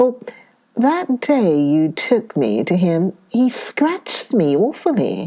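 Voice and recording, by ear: Reading aloud is happening here. The delivery comes in a natural voice.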